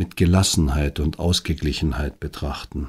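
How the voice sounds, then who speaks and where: A man speaking at a fairly slow pace in a calm, soothing tone. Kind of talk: guided meditation. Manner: slow, calm, soothing, gently paced with long pauses; soft-spoken, intimate, addressing the listener directly as 'du'.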